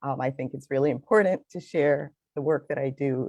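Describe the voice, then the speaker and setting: A woman with a slight Belizean accent, a very deep, low pitch and a dark, mellow tone, in a dry, close sound with no echo. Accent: slight Belizean Caribbean. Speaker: finance consultant. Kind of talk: interview. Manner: animated.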